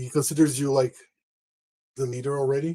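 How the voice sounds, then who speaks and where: Here is a man with a medium pitch and a dark, mellow tone. His voice is somewhat breathy, with ordinary pitch variation. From Brazil. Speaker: tabletop role-play player. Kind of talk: casual tabletop role-play.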